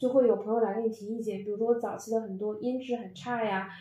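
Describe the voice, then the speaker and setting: Amid noticeable background noise and audible room echo, a woman with a slight northeastern Chinese accent talks at a very fast pace with ordinary pitch variation. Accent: slight northeastern Mandarin. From Northeast China. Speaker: podcast host. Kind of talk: casual chat.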